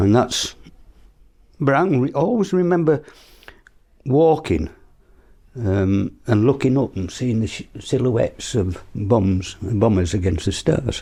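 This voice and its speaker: A man with a Yorkshire accent speaks at a medium pitch and a fairly slow pace, leaving long, frequent pauses. His tone is dark and mellow, somewhat breathy, with very wide pitch swings. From northern England, South Yorkshire (Sheffield). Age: 80s+. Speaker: local resident sharing memories. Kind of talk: oral history interview. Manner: halting.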